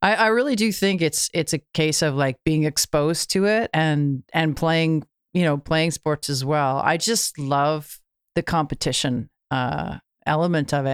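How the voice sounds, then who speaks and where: A woman with a Canadian accent speaks at a fairly slow pace in a very deep, low voice with ordinary pitch variation and very even loudness, recorded with a dry, close sound with no echo on a very clean recording with a silent background. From Canada. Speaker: musician. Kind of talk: casual chat.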